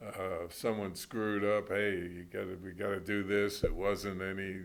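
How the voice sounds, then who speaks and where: A man's fairly low voice, monotone and flat in intonation, at a moderate pace with audible room echo. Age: 70s. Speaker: retired basketball coach. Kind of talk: interview.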